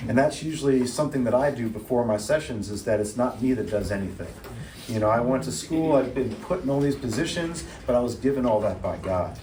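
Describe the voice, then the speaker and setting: A man speaks at a medium pitch with ordinary pitch variation. Audible room echo and noticeable background noise surround him. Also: fairly quick pace. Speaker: therapist leading a church workshop. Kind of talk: workshop talk. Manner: fast.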